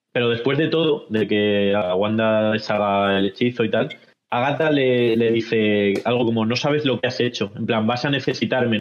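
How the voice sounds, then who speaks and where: Fairly low pitch and ordinary pitch variation in a plain, everyday voice from a man. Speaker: podcast host. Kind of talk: casual panel discussion.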